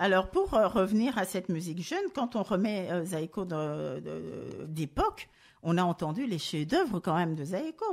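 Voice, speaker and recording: A woman with an ordinary speaking voice talks at a moderate pace, her medium pitch carried by lively intonation. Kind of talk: radio show talk. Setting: studio.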